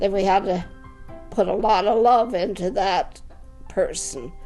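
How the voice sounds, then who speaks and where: Music in the background behind a woman's medium-pitched voice. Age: 80s+. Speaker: retiree in seniors residence. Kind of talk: interview answer.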